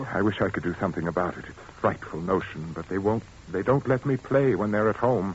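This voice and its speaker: A man's fairly low voice at a fairly quick pace, with big swings in loudness amid noticeable background noise. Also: ordinary pitch variation. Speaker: actor playing an organist, in an old-time radio drama. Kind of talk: old-time radio drama performance. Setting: vintage radio studio recording, 1940s.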